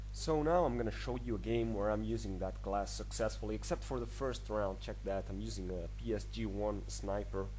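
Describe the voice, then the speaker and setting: A man's very deep, low voice, dark and mellow in tone and somewhat breathy, flat and monotone in intonation, at a fairly quick pace with hardly any pauses, with audible room echo. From Spain. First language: Spanish. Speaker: gaming video creator. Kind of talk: gameplay tutorial. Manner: halting.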